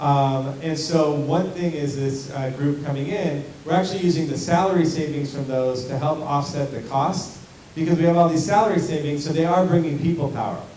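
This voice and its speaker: A man with a fairly high pitch talks at a fairly quick pace and with fairly even intonation, with noticeable background noise and audible room echo. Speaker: school district administrator. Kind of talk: community meeting Q&A. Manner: loud.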